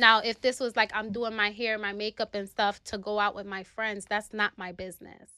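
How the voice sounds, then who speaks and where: A woman with a New York accent talks in a fairly high, bright, sharp voice, flat and monotone, with hardly any pauses. The very clean recording is dry and close with no echo, against a silent background. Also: moderate pace. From New York City, South Bronx. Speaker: nurse practitioner. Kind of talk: casual interview.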